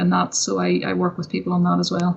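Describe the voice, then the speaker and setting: With a Northern Irish accent, a woman talks at a fairly quick pace. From Northern Ireland. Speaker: entrepreneur and success coach. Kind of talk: interview.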